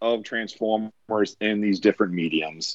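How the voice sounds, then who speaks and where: The voice moves at a moderate pace, with a dry, close sound and no echo. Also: man. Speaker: podcast co-host. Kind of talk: casual group chat.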